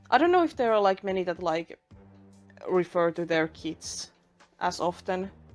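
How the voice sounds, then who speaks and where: At a moderate pace and with a non-native accent, the speaker uses ordinary pitch variation and takes long, frequent pauses while music plays in the background. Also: woman, medium pitch for a woman. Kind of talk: casual commentary over speedpaint. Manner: casual, rambling.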